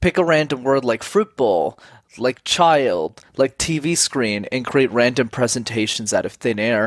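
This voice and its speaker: A man uses an ordinary speaking voice at a fairly slow pace with lively intonation and medium pitch. The sound is dry and close, with no echo. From Montreal, Canada. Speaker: communication coach. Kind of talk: interview. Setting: video call.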